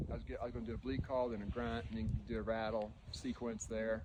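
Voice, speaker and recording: A man with an American accent, a medium pitch, a dark, mellow tone and a very fast pace. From Indiana, US Midwest. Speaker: deer hunter. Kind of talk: casual first-person hunting story told on location. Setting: outdoors in the woods at the tree stand. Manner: casual, halting with fillers and repeats.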